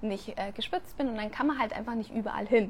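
A woman's somewhat breathy, animated voice on a very clean recording with a silent background. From Germany. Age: 30s. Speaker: podcast host and coach. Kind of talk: casual live Q&A stream. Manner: animated, with many fillers.

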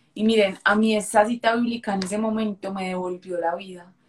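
A woman's normal speaking voice, fairly high in pitch, with fairly even intonation at a moderate pace. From Colombia, Medellín. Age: 20s. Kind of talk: interview with faith testimony.

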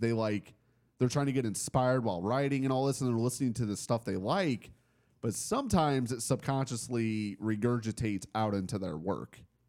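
A man's unremarkable speaking voice at medium pitch, fairly quick in pace, with ordinary pitch variation. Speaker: podcast host. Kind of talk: casual chat.

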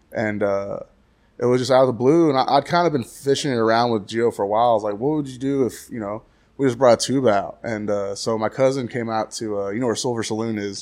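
Speaking very fast in an American accent, a man is heard on a very clean recording with a silent background. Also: medium pitch for a man, ordinary pitch variation. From Texas, Graham. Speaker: touring band musician. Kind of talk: casual interview chat.

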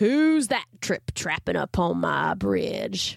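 Someone puts on a gravelly character voice and speaks at a very slow pace. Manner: gruff, menacing.

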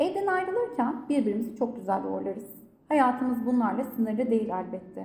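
At a moderate pace, a woman's high voice has a dark, mellow tone and audible room echo. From Turkey, Gaziantep. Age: 30s. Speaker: professional coach. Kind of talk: personal testimony in interview.

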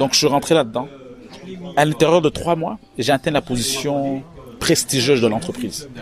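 Ordinary pitch variation marks a man's fairly quick speech. Noticeable background noise is present too. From Quebec, Montreal. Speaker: entrepreneur and author. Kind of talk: interview. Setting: hotel lobby.

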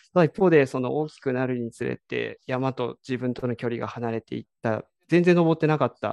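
A man with an ordinary speaking voice talks at a fairly quick pace and medium pitch, with ordinary pitch variation and hardly any pauses. His loudness swings a lot, and the sound is dry and close with no echo. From Kiryu, Gunma, Japan. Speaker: trail runner. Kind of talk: interview.

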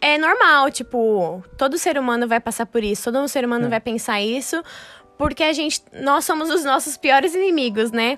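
Her pitch is high and her intonation lively. The woman talks at a moderate pace. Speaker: podcast co-host, dancer. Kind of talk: casual chat. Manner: laughs often.

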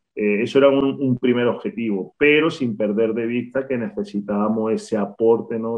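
A man speaks in a plain, everyday voice at a medium pitch and moderate pace, with ordinary pitch variation. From Spain, Granada. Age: 30s. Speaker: basketball coach. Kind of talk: interview.

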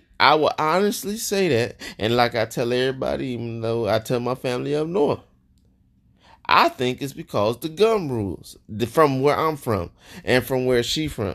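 This man talks at a moderate pace in a medium pitch, his tone animated and his intonation lively. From Joliet, Illinois. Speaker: podcast host. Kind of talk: casual chat with his wife, podcast banter. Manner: animated, joking, laughs often.

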